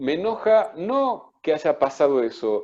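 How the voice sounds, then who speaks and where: A man's dark, mellow tone with lively intonation. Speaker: psychoanalyst and author. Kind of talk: book presentation talk.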